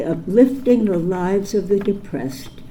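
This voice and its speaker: A woman's medium-pitched, lively-intoned voice at a fairly slow pace, with audible room echo. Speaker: honoree's daughter giving tribute speech. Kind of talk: prepared tribute speech. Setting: ceremony hall with audience. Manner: formal.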